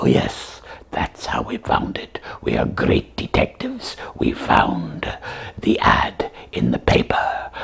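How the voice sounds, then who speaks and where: A man speaks in a cartoonish character voice that is raspy. He delivers it at a fairly slow pace. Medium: puppet.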